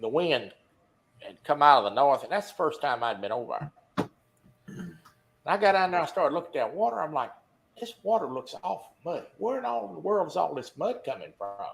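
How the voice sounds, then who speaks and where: A man with an American accent and a high voice, fairly quick yet broken by long, frequent pauses, his pitch swinging very widely. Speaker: fishing talk show host. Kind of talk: casual chat. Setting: live stream.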